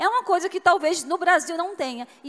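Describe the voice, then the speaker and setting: A woman with a regional Brazilian accent speaks at a fairly quick pace. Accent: noticeable regional Brazilian. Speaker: business executive, conference speaker. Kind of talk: conference talk. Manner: conversational, with fillers.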